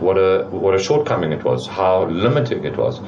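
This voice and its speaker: A man's very deep, low voice at a fairly quick pace, with audible room echo and noticeable background noise. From South Africa, moved from French-speaking country at eleven. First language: French. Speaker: business owner. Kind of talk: interview. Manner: repeats words, hesitant restarts.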